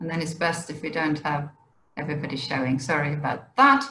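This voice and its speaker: At a fairly quick pace, a woman speaks in a very deep, low voice. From Sweden. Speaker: wildlife education officer. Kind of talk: presentation. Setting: video call.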